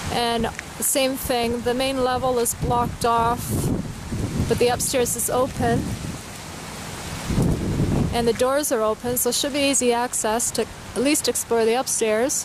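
Over loud background noise, the speaker goes at a fairly slow pace with long, frequent pauses. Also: dry sound with no echo. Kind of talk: commentary. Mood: calm, curious. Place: street. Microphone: phone near.

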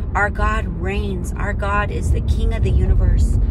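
Loud background noise surrounds a woman speaking at a fairly slow pace, her voice dry with no echo. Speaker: faith vlogger. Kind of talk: devotional prayer talk. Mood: earnest, reflective. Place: car. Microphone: phone near.

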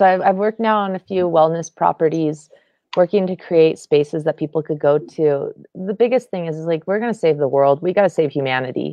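In a quiet background with dry sound and no echo, a woman with an American accent speaks fairly quickly in a very deep, low pitch with ordinary pitch variation. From US West. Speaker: entrepreneur; guest. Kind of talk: panel discussion. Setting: video call. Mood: earnest, reflective. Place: home room. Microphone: video call.

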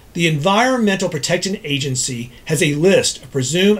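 This man has an American accent and lively intonation. He speaks at a moderate pace. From Texas, Dallas. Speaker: ENT doctor. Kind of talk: scripted explainer. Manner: formal. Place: office.

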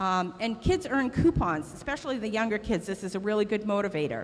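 A woman's fairly high-pitched voice with ordinary pitch variation. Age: 50s. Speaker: mill worker and community volunteer; guest. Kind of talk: school assembly speech. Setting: school assembly with audience. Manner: loud. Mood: warm, encouraging. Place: hall. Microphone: handheld.

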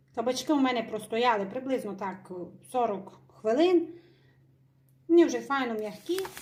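Noticeable background noise surrounds a woman with a high-pitched voice who leaves long, frequent pauses. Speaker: home cook. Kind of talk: cooking tutorial narration.

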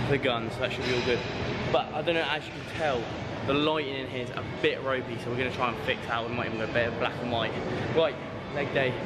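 Loud background noise sits behind the speaker. A man talks at a very fast pace. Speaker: fitness vlogger. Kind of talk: casual vlog chat. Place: gym. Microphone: phone near.

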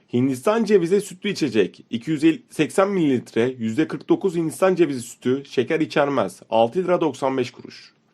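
With a normal speaking voice, a man with a fairly high pitch talks at a fairly slow pace. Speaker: product catalog narrator. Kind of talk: reading product list with prices.

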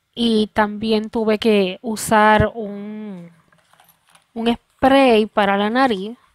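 Over a quiet background, a woman with a fairly high pitch speaks very slowly in a flat monotone, the sound dry with no echo. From Puerto Rico. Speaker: video creator. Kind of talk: personal vlog testimony. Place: home room. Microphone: headset.

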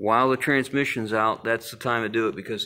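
Here is a man with a plain, everyday voice. He talks at a moderate pace and a fairly low pitch. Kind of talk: casual explanatory walkthrough. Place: garage. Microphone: phone near.

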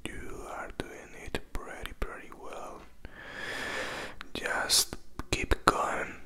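Whispering very slowly in a gentle, soothing tone, a man shows big swings in loudness over light background noise. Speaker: ASMR creator. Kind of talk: soft whispered ASMR talk. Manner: gentle soothing whisper. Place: home room. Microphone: handheld.

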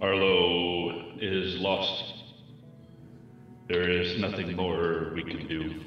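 A man with a very deep, low voice speaks at a very slow pace, with long, frequent pauses. His intonation is monotone and flat, and there is a clear echo. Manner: urgent, somber, practical.

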